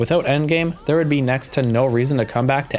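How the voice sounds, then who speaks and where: Over music in the background, the speaker moves at a fairly quick pace with lively intonation. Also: man. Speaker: gaming content creator. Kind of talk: gaming video essay narration.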